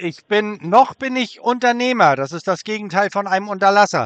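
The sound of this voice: A man talks fairly quickly in a high, fairly bright voice with ordinary pitch variation.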